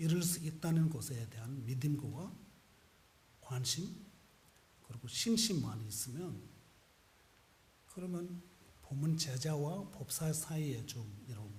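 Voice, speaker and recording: Speaking very slowly with a non-native accent, a man uses lively intonation and long, frequent pauses, with audible echo from the room. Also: fairly high pitch for a man. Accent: foreign accent in Korean. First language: non-Korean (speaking Korean). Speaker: Buddhist monk. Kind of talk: sermon. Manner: halting.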